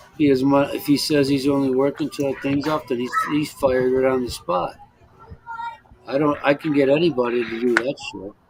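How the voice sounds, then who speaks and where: Someone speaks at a moderate pace with an American accent over noticeable background noise. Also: man. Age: 60s. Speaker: expat livestream host. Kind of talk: casual chat. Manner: halting, many repetitions.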